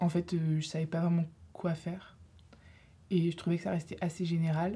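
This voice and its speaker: At a moderate pace, a woman speaks in a fairly low pitch, her somewhat breathy voice dark and mellow in tone, her intonation monotone and flat. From Lille, northern France. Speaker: university student, association treasurer. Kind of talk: casual debate. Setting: studio.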